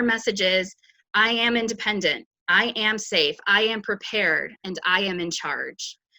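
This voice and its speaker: There is a bright, sharp tone to this woman's speech. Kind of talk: webinar introduction. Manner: fast.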